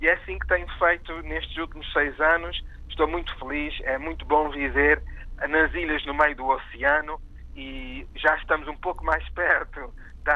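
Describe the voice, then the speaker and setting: The speaker is a man. He talks at a moderate pace. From Oakville, Ontario, Canada, of Portuguese parents. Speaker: arts organizer. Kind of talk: interview.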